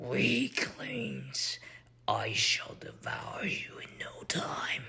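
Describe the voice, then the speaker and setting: A man growls in a raspy, put-on character voice at a very slow pace. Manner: menacing, growling.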